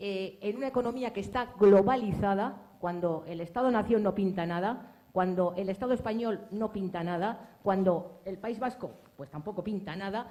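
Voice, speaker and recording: A woman speaks in a plain, everyday voice at a fairly slow pace. Her pitch is medium with ordinary variation. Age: 60s. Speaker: audience member asking a question. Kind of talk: audience question at book presentation.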